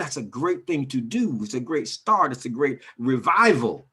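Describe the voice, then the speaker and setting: A man at a moderate pace, medium in pitch, with a bright, sharp tone, vocal fry and very wide pitch swings. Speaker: community educator. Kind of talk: community talk. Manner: animated.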